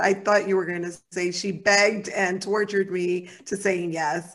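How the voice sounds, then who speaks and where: A woman's medium-pitched voice with a warm tone, monotone, flat intonation and a moderate pace. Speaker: podcast host and psychotherapist. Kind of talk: casual interview chat. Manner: warm, laughs often.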